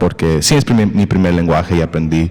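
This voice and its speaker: This man's voice sits at a very deep, low pitch. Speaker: podcast host. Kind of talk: casual conversation. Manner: halting, hesitant with English fillers.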